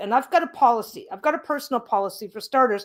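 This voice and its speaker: The speaker has a Canadian accent and talks at a very fast pace. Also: woman. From Canada. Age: 60s. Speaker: craft YouTuber. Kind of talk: casual livestream chat.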